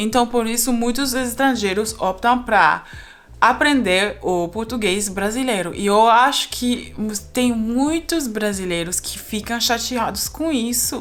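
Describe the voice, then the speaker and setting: Over music in the background, a woman speaks very slowly in a fairly high voice with ordinary pitch variation. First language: not Portuguese; learned Brazilian Portuguese (speaking Portuguese). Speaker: polyglot YouTuber. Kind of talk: casual vlog monologue. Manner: halting, with fillers.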